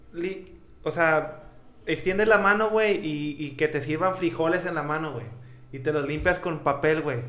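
A man at a fairly high pitch and fairly slow pace, with ordinary pitch variation, audible room echo and noticeable background noise. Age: 20s. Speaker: podcast co-host. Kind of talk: casual chat.

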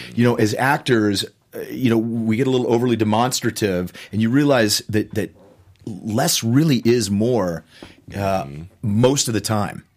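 At a moderate pace, the man has an unremarkable speaking voice pitched in the medium range. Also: ordinary pitch variation. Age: 50s. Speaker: actor and author. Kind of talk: interview.

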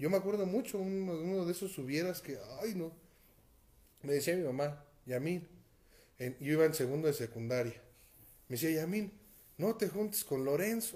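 This man's voice has a dark, mellow tone and a fairly high pitch. His moderate pace is broken by long, frequent pauses. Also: lively intonation. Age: 30s. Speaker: pastor. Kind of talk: sermon. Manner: halting.

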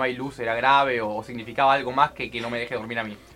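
This man talks at a very fast pace in a Rioplatense accent. His tone is bright and sharp. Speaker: podcast host. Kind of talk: casual chat.

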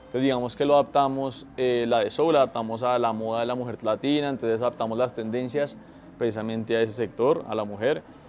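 A man talks at a very fast pace and medium pitch. His intonation stays fairly even. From Colombia, Tolima. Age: 20s. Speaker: environmental engineer in family business. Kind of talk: casual chat.

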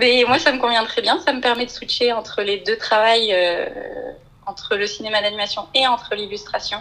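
A woman's fairly high-pitched, an ordinary speaking voice, at a moderate pace with ordinary pitch variation. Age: 20s. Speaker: illustrator and storyboard artist. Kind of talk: interview.

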